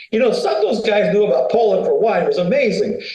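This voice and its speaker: An American-accented man talks at a fairly quick pace, with audible echo from the room. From USA. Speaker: winery founder. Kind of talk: interview conversation. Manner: casual, colloquial.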